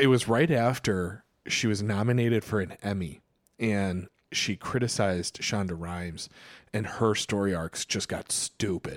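A man's plain, everyday voice, fairly low in pitch, at a fairly slow pace with ordinary pitch variation, dry and close with no echo on a very clean recording with a silent background. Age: 30s. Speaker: podcast co-host and teacher. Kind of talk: casual chat.

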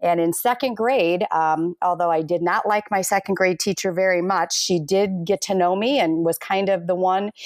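A woman with an American accent uses an ordinary speaking voice at medium pitch and a moderate pace, her intonation fairly even, in a dry, close sound with no echo on a very clean recording with a silent background. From US Midwest, Minnesota. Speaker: school administrator. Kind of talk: interview.

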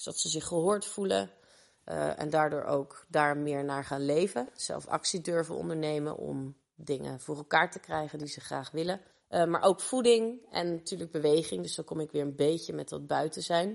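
A woman's very deep, low voice with lively intonation and big swings in loudness. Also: moderate pace. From Rotterdam, Kralingen. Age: 30s. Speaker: lifestyle coach. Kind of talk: group discussion.

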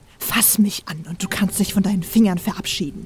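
A woman's put-on character voice at a medium pitch, fairly quick, with fairly even intonation and audible hissing. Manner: hissed, dangerous threat.

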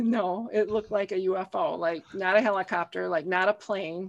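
The delivery comes at a fairly slow pace. Intonation stays fairly even. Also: woman. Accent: Upper Midwest US. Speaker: author and podcaster. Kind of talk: casual chat, interview.

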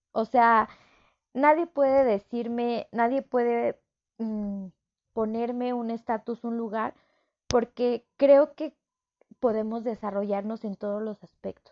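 Speaking in a Mexico City accent at a very slow pace, a woman with a fairly high pitch leaves long, frequent pauses, her loudness swinging widely while her intonation stays fairly even. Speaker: psychologist and podcast host. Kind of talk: solo podcast monologue. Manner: warm, chatty.

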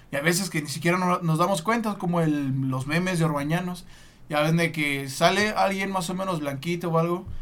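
A man's high-pitched voice with a Mexican accent, fairly even intonation, a fairly quick pace and audible room echo. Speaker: sports podcast host. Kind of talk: casual chat with storytelling.

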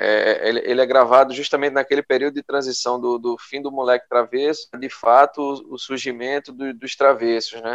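A man speaks at a medium pitch and a moderate pace with hardly any pauses. His intonation is monotone and flat, but his loudness swings widely. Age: 30s. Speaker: podcast co-host. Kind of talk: casual chat.

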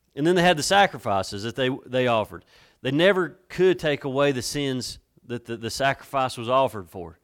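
A man with a Southern US accent, medium pitch, lively intonation and a fairly quick pace. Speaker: pastor. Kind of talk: sermon. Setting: church. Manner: soft-spoken.

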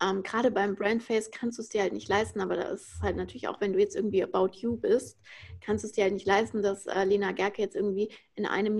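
Monotone and flat, a woman's medium-pitched voice with vocal fry moves at a fairly quick pace over a quiet background. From Frankfurt, Germany. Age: 20s. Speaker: influencer marketing consultant. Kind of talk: podcast interview.

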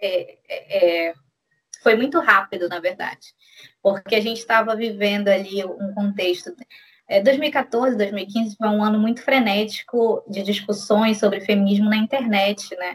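Ordinary pitch variation marks a woman's unremarkable speaking voice at a fairly high pitch. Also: fairly slow pace. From Brazil, Belém do Pará. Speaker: schoolteacher and feminist activist. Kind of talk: casual interview.

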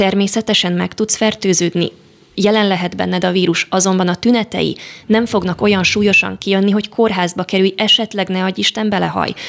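A woman talks at a fairly quick pace. Her intonation is monotone and flat. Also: medium pitch for a woman. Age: 20s. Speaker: medical student. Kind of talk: radio interview. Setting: studio.

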